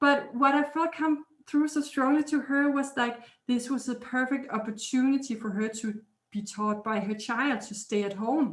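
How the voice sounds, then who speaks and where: A woman speaks with a Danish accent in a high-pitched voice. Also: ordinary pitch variation, moderate pace. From Denmark. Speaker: healer and energy intuitive. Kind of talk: interview.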